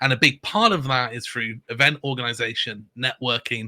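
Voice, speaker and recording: Heard dry and close with no echo, a man's bright, sharp tone holds a fairly even intonation. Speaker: board game designer and publisher. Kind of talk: casual interview chat. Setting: live stream video call.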